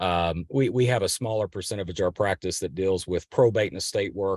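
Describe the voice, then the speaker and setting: Speaking at a fairly quick pace with a Kentucky accent, a man with a very deep, low pitch keeps his intonation fairly even in a dry, close sound with no echo and a quiet background. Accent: regional Kentucky. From western Kentucky. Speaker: family lawyer. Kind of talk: podcast interview. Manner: halting.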